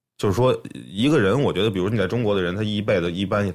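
The speech moves at a very fast pace with ordinary pitch variation, captured in a very clean recording against a silent background. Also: man. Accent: slight Beijing. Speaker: music producer. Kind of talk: casual chat. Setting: studio.

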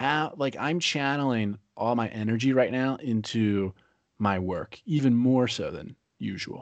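A man's normal speaking voice, medium in pitch with an American accent, ordinary pitch variation and a fairly slow pace, against a quiet background. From Pennsylvania. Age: 20s. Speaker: podcast host and entrepreneur. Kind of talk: interview conversation.

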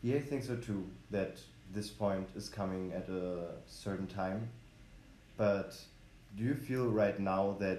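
At a fairly slow pace with long, frequent pauses, a man with a German accent and a dark, mellow tone speaks amid audible room echo. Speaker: podcast host. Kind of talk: solo podcast intro; casual chat. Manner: hesitant, many fillers.

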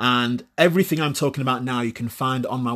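A man at a medium pitch in a very clean recording with a silent background. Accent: British. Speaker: podcast host. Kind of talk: monologue to listeners, casual and confessional. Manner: conversational, self-deprecating, swears casually.

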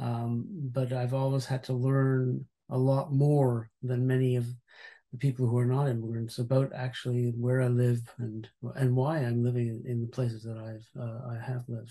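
A man's somewhat breathy voice with a Canadian accent, medium in pitch, with a dark, mellow tone and monotone, flat intonation. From Montreal, Canada. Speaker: university president and author. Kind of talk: interview. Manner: halting.

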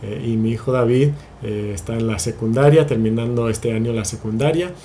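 Heard with audible room echo, a somewhat breathy man speaks at a medium pitch and moderate pace with ordinary pitch variation. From Spain. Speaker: pastor. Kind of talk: sermon. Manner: halting.

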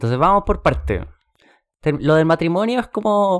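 A man with a plain, everyday voice, lively intonation and a moderate pace, on a very clean recording with a silent background. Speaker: podcast host, book club. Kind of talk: casual chat.

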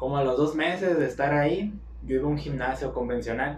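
A man with a fairly high pitch talks at a very fast pace with fairly even intonation. Audible room echo and noticeable background noise are present. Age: 20s. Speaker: personal trainer and music student. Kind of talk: casual chat.

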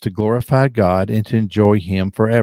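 A man with a Southern US accent speaks at a moderate pace in a fairly low pitch, his tone dark and mellow with ordinary pitch variation. The sound is dry and close with no echo, on a very clean recording with a silent background. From South Carolina, US South. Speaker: author, pastor and podcast host. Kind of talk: interview, personal testimony. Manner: occasional stutter, animated.

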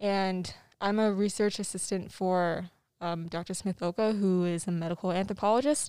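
A woman's medium-pitched voice with an American accent and a dark, mellow tone, on a very clean recording with a silent background. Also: fairly even intonation, moderate pace. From US, Arizona. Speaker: university student. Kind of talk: interview.

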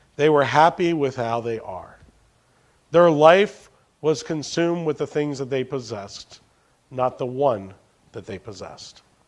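The pace is fairly slow, with long, frequent pauses. Intonation stays lively throughout. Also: man. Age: 40s. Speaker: pastor. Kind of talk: sermon. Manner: animated.

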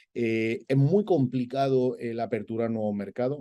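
A man's dark, mellow tone at a moderate pace over a quiet background. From Spain, Andalusia (Granada). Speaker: olive oil company executive. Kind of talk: interview. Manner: halting, with repetitions.

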